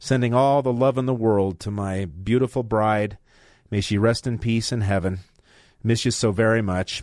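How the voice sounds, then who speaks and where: A man's normal speaking voice, medium in pitch, at a moderate pace with fairly even intonation against a quiet background. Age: 60s. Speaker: radio talk show host and lawyer. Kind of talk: talk radio. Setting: radio studio.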